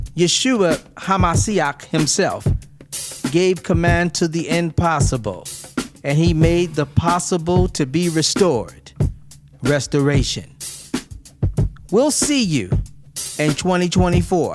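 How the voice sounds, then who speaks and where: Very slow speech with long, frequent pauses, ordinary pitch variation and music in the background. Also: man, high pitch for a man. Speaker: minister. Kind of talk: religious teaching message.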